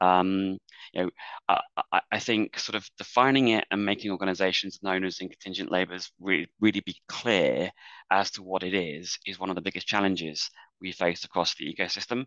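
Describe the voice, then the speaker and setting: A man with an English accent speaks at a fairly quick pace in a very deep, low pitch, with fairly even intonation and a bright, sharp tone. The sound is dry and close with no echo, against a quiet background. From England. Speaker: business executive, panelist. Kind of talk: webinar panel discussion. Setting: online webinar.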